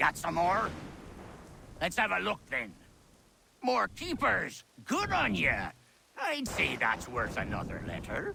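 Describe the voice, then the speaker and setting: A man uses a put-on character voice. He speaks at a fairly slow pace with long, frequent pauses. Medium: video game. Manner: gruff, bantering.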